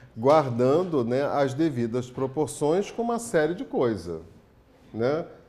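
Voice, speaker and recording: A man's dark, mellow voice sits fairly high in pitch and moves through very wide pitch swings, with audible room echo around it. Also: moderate pace. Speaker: spiritist lecturer. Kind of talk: lecture.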